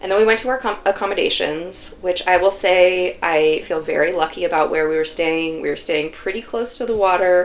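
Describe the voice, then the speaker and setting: A woman speaks at a moderate pace. Noticeable background noise runs throughout. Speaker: knitting vlogger. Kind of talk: casual vlog talk. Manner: chatty, filler-heavy.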